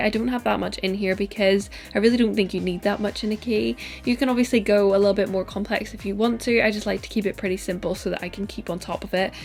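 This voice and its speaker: A woman with a Northern Irish accent talks at a very fast pace, her pitch medium with ordinary variation. Music plays in the background. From Northern Ireland. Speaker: lifestyle youtuber. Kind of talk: casual tutorial vlog.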